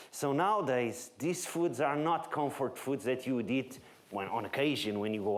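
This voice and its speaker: A man with a Portuguese accent, medium-pitched, at a moderate pace with ordinary pitch variation and audible room echo. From Portugal, Lisbon. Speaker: nutrition researcher. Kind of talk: lecture.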